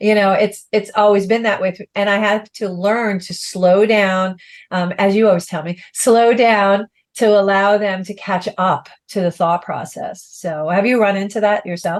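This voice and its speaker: A woman's plain, everyday voice, medium in pitch, at a fairly slow pace with fairly even intonation, against a quiet background. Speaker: life coach. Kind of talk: casual chat.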